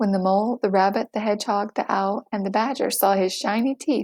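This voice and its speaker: A woman with a plain, everyday voice and a fairly high pitch speaks with fairly even intonation, in a dry, close sound with no echo. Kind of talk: children's picture book read-aloud.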